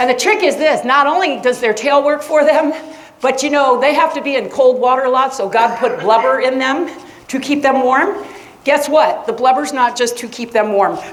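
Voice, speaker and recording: Amid noticeable background noise and audible room echo, a woman with an American accent talks animatedly at a moderate pace, her high pitch showing ordinary variation. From Florida, US. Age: 60s. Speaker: science teacher. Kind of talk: lecture. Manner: conversational.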